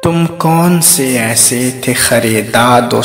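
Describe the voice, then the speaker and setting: With lively intonation, a man talks while music plays in the background. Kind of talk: poetry reading. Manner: emotional, heartfelt.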